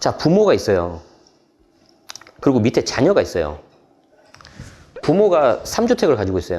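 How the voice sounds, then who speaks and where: A man's pitch swings very widely as he talks fairly quickly. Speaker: real estate tax expert. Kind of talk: explanatory interview. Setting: live show studio. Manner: fast.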